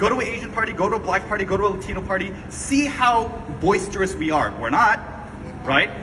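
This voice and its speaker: A man talks very fast at a high pitch with lively intonation, amid noticeable background noise and audible room echo. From US, Korean American. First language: Korean. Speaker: activist, movement founder. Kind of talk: speech to audience. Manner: animated.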